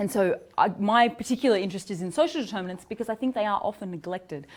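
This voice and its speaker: A woman speaks at a medium pitch with an Australian accent. The recording is very clean, with a silent background. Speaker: psychology researcher. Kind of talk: academic seminar lecture. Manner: fast when excited, drops consonants.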